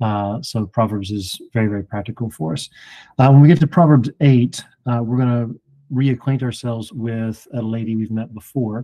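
A man's dark, mellow voice at a moderate pace, with a dry, close sound and no echo. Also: medium pitch for a man, ordinary pitch variation. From Alabama. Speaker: Bible teacher. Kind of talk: Bible study discussion.

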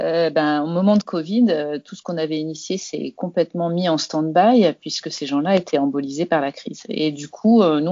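The speaker is a woman with ordinary pitch variation. Her pace is moderate. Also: big swings in loudness. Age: 40s. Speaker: health start-up founder. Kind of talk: interview. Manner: hesitant, many fillers.

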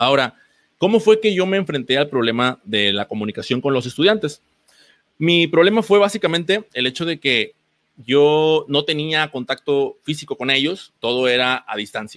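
A man's fairly high voice with lively intonation at a moderate pace. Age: 30s. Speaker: physical education teacher. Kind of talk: online presentation. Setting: online event with screen sharing. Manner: halting, many repetitions and fillers.

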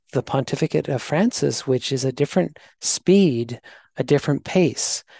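With a Canadian accent, a man in an unremarkable speaking voice talks at a moderate pace with ordinary pitch variation, in a dry, close sound with no echo against a quiet background. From Canada. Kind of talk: casual interview.

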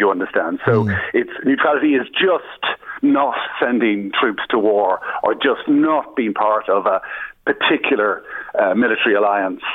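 In an Irish accent, a man speaks at a very even loudness. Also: moderate pace. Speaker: anti-war activist. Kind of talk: radio interview.

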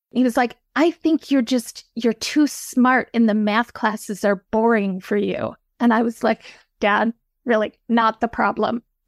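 In an American accent, a woman speaks at a fairly slow pace and a fairly high pitch, with fairly even intonation, very even loudness and a dry, close sound with no echo. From Michigan, US Midwest. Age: 50s. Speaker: novelist. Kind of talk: interview.

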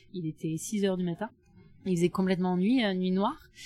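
A woman's medium-pitched voice at a moderate pace with ordinary pitch variation. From southwest France, near Bordeaux. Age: 30s. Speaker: solo adventure traveller, former lawyer. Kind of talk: interview testimony. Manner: hesitant, many fillers. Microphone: mediocre sound quality from recording problem.

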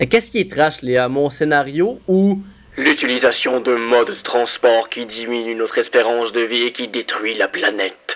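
Here is a plain, everyday voice at a moderate pace. The intonation is lively. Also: man, medium pitch for a man. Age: 20s. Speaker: comedian and podcast co-host. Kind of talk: scripted podcast narration.

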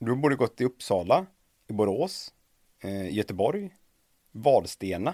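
A man's medium-pitched voice, dark and mellow in tone, at a fairly slow pace with very wide pitch swings and long, frequent pauses, in a dry, close sound with no echo. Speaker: podcast host. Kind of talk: interview.

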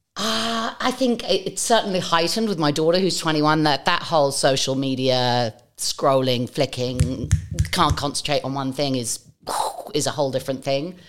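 A woman with a very deep, low pitch and lively intonation talks over noticeable background noise. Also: moderate pace. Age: 40s. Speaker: podcast host. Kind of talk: casual interview.

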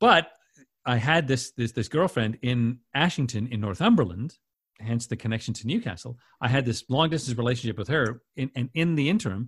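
A man with a Canadian accent speaks at medium pitch and a fairly quick pace, somewhat breathy, with ordinary pitch variation. The recording is very clean, with a silent background. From Winnipeg, Canada. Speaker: radio station CEO and broadcaster. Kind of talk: casual interview chat.

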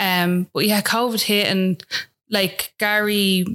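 In an Irish accent, a woman speaks at a medium pitch with a bright, sharp tone and monotone, flat intonation. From Ireland. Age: 20s. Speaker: new mother. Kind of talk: interview testimony. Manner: casual, filler-heavy.

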